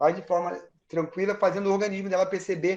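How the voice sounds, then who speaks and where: Delivered very fast, the speech keeps a monotone, flat intonation throughout. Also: man. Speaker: physiotherapist. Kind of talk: live webinar talk.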